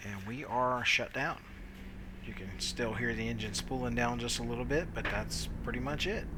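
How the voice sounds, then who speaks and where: With room echo audible and clear background noise, a man speaks at neither a fast nor a slow speed. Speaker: flight sim video creator. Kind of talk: tutorial. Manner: casual, hesitant fillers.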